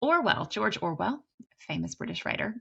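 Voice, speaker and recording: A woman with a Kentucky Appalachian accent, at a fairly quick pace. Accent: Kentucky mountain. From US, Kentucky (Appalachian). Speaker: teacher, writing instructor. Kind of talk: lecture.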